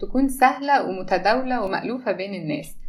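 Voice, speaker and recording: A woman is talking. Noticeable background noise runs under her voice. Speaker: pharmacy lecturer and podcast co-host. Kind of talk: scripted introduction.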